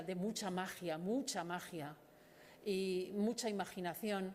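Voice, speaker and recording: Ordinary pitch variation runs through this voice. It belongs to a woman with a medium pitch. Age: 60s. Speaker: author presenting her book. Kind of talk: book presentation talk. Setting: audience venue, wearing a face mask. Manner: halting, many fillers and repetitions.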